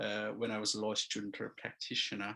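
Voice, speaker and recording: Vocal fry marks a man's medium-pitched voice, which has a bright, sharp tone. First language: not English. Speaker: construction lawyer. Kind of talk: seminar presentation. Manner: halting, many fillers.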